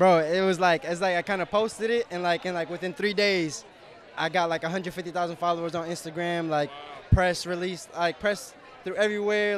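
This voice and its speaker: With an American accent, a man speaks at a high pitch and a fairly quick pace in fairly even intonation, the sound dry with no echo and light background noise behind him. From New York. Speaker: viral social media personality; interviewee. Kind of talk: casual interview. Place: street. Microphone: handheld.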